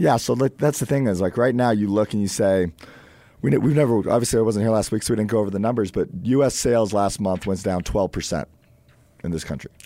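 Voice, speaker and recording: At a very fast pace, a man speaks in a dark, mellow tone with a fairly low pitch. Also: ordinary pitch variation. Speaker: radio co-host, car dealer. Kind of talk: casual radio talk show. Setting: radio studio.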